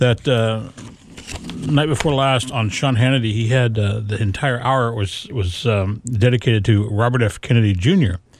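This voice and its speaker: A man speaks at a moderate pace and medium pitch, with ordinary pitch variation and noticeable background noise. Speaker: radio host. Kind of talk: live radio chat. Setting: radio studio. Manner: casual, friendly.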